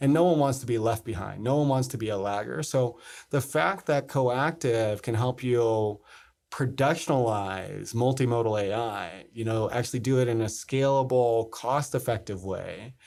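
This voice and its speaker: An ordinary speaking voice from a man with an American accent, medium pitch, ordinary pitch variation and moderate pace, on a very clean recording with a silent background. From US East Coast, South Jersey. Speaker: tech company founder and CEO. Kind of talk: interview.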